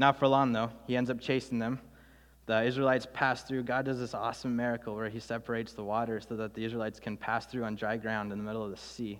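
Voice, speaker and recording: Very fast speech from a man at medium pitch, monotone and flat in intonation. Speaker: youth intern and guest preacher. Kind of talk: sermon. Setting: church. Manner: nervous, casual.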